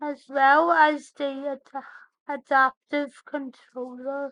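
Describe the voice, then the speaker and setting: A woman's high, flat, monotone voice with a dry, close sound and no echo. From Northern Ireland. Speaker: tech podcast host. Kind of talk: scripted podcast narration.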